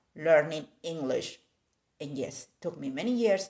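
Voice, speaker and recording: A woman speaks in a Spanish accent. Her pitch is very deep and low, with ordinary pitch variation. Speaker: art content creator. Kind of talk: casual live video chat. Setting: live stream. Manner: code-switching Spanish and English.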